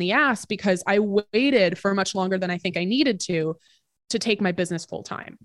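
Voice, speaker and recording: Here is a woman with an unremarkable speaking voice, medium in pitch with ordinary variation. She talks at a moderate pace against a quiet background. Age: 20s. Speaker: entrepreneur and personal finance podcast host. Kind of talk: casual interview.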